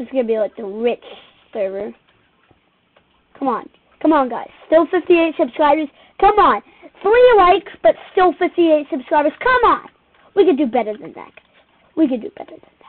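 The speech moves at a moderate pace with long, frequent pauses. Its loudness swings widely. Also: woman, high pitch for a woman. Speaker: gamer narrating own play. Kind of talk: casual gameplay commentary.

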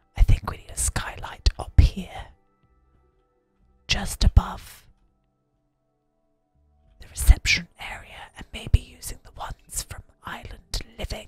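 Whispering at a fairly slow pace, a man leaves long, frequent pauses as faint music plays in the background. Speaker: gaming content creator / video host. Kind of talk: whispered ASMR game-building commentary. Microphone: studio mic.

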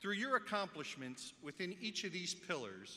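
This man's voice sits high in pitch. He keeps a moderate pace. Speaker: school superintendent. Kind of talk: formal speech. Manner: formal. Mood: proud, warm, formal. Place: hall. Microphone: podium.

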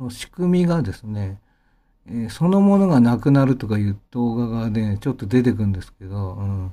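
A dark, mellow tone with lively intonation at a moderate pace, on a very clean recording with a silent background. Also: man. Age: 50s. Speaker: pianist and channel host. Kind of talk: casual monologue. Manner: rambling, many fillers.

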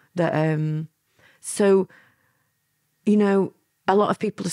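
A woman with a Lancashire accent, dry and close with no echo, on a very clean recording against a silent background. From Lancashire, England (born in Milan, moved at nine). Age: 50s. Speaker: former mafia courier and author. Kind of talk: interview storytelling.

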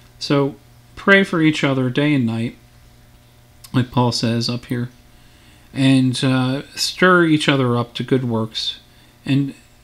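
The pace is fairly slow. It's a man, and his pitch moves in an ordinary way. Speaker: Sunday school teacher. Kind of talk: bible lesson then spoken prayer. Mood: calm, earnest.

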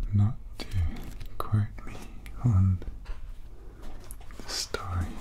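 Amid noticeable background noise, a man talks at a very slow pace. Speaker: ASMR creator. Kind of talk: ASMR soft-spoken tapping video. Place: home room. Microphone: studio mic.

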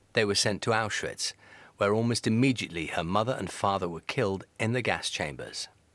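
This man has an ordinary speaking voice with a fairly low pitch, talking at a fairly quick pace with ordinary pitch variation. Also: quiet background. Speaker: TV news presenter. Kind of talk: TV news report narration.

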